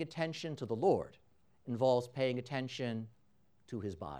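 Using an ordinary speaking voice, a man talks at a moderate pace. His pitch variation is ordinary, and the background is quiet. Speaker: priest. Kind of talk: fervent prayer at Mass. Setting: church during Mass. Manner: solemn, earnest, devotional; measured, reverent pace.

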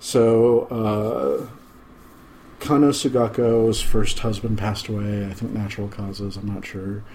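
A quiet man speaks at a fairly slow pace. His pitch is fairly low and his intonation fairly even. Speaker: podcast host. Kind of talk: casual chat. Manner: low, quiet talker.

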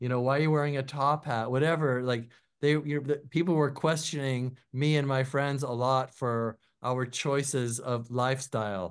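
A man's medium-pitched voice at a moderate pace, with fairly even intonation against a quiet background. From US Pacific Northwest, Seattle. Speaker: record producer and musician. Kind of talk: interview. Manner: loud.

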